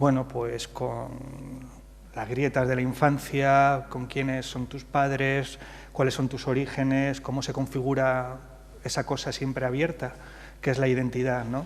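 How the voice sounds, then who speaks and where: Amid audible room echo, a man talks at a medium pitch and a fairly slow pace with monotone, flat intonation. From Madrid, Spain, of Andalusian parents from Jaén. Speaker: playwright. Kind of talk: interview on stage at literary festival. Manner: hesitant, many fillers.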